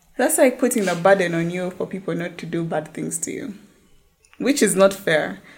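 Her loudness swings widely as a woman talks at a moderate pace and medium pitch, using lively intonation and vocal fry. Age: 20s. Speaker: lawyer. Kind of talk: casual chat.

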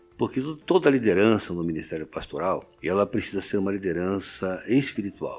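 Music plays behind a man speaking at a moderate pace. His pitch is fairly low, with ordinary variation. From Rio de Janeiro, Brazil. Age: 70s. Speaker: pastor. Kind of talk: interview. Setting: studio.

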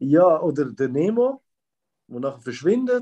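With a Swiss accent, a man speaks at a moderate pace in a high pitch with very wide pitch swings. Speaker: podcast co-host. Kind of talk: casual chat.

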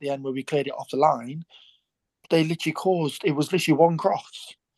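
Recorded with a dry, close sound and no echo, a man speaks in an ordinary speaking voice at a fairly high pitch. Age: 20s. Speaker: professional footballer. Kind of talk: casual chat.

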